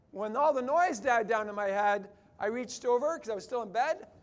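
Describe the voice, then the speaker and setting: Here a man with a Canadian accent talks in a high pitch with lively intonation. His pace is moderate, and the room echo is audible. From Canada. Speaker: chiropractor speaker. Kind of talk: conference keynote talk.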